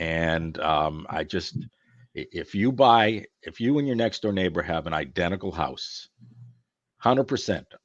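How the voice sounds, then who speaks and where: Against a quiet background, a man with an ordinary speaking voice and fairly low pitch speaks at a fairly slow pace with lively intonation. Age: 60s. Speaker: closet business owner. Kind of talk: podcast interview. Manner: conversational.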